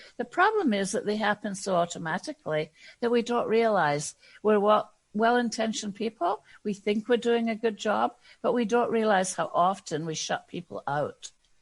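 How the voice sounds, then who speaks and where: A woman with a Scottish accent speaks at a moderate pace and fairly high pitch, with lively intonation over a quiet background. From Scotland. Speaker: diversity and inclusion consultant. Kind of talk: podcast interview. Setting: podcast.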